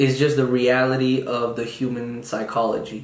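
A man with a medium pitch is heard through noticeable background noise and audible room echo. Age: 20s. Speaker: podcast host, university student. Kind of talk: casual monologue. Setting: solo recording on video.

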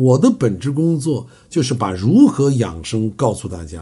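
A man's voice swings very widely in pitch. It has a dark, mellow tone and vocal fry. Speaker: traditional Chinese medicine health lecturer. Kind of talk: lecture. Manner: frequent filler 啊 interjections.

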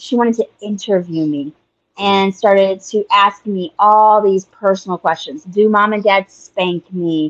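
With an American accent and a plain, everyday voice, the speaker goes at a fairly slow pace with ordinary pitch variation, in a dry, close sound with no echo. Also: woman. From USA, raised traveling between churches. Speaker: evangelist's adult child, stand-in podcast host. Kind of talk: casual chat.

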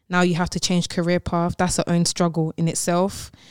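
In a London accent, a woman speaks at a moderate pace with a fairly low pitch and monotone, flat intonation, the recording very clean with a silent background and a dry, close sound with no echo. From London, England. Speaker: singer and songwriter. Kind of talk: casual radio interview. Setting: radio studio. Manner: cheerful and laughing.

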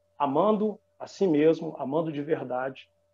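With lively intonation, a man speaks in a Minas Gerais accent. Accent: Minas Gerais Brazilian Portuguese. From Belo Horizonte, Minas Gerais, Brazil. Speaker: sports radio announcer. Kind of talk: interview.

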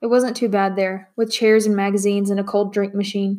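In a natural voice, someone reads aloud.

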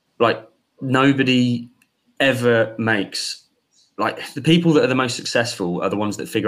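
Medium in pitch for a man, this voice is a normal speaking voice with ordinary pitch variation. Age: 20s. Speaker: business school founder. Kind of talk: interview.

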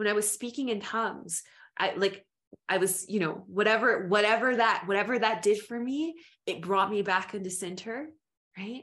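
Against a quiet background, a woman speaks at a medium pitch. It is an unremarkable speaking voice with ordinary pitch variation. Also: moderate pace. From US South, Memphis-born, raised in Appalachia. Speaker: storyteller and flower essence practitioner. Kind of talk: casual chat.

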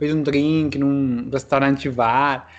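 A man talks with a Spanish accent. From Peru, Trujillo. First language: Spanish (speaking Portuguese). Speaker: interviewee living abroad. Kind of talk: casual chat. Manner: halting.

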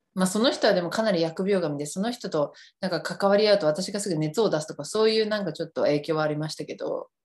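Against a quiet background, a woman at medium pitch speaks at a very fast pace with hardly any pauses, her tone animated and her intonation lively. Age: 30s. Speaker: podcast host. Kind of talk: casual chat. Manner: animated, laughing often.

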